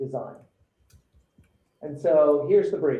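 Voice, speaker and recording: With audible room echo, a man talks in a British accent. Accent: British-tinged accent from years in the UK. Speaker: show host and designer. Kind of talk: live presentation of a design challenge brief. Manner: conversational, with frequent fillers.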